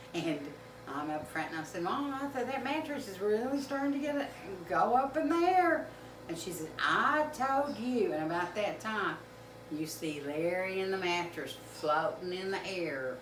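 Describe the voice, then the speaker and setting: With a Southern US accent, a woman at medium pitch talks at a moderate pace with very wide pitch swings, amid audible room echo and noticeable background noise. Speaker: home cook video host. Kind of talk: casual storytelling. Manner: halting.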